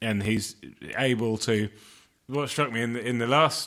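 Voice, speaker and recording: At a fairly slow pace, a man with an English accent speaks in a bright, sharp tone. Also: very clean recording, silent background. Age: 40s. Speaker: podcast co-host. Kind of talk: casual chat.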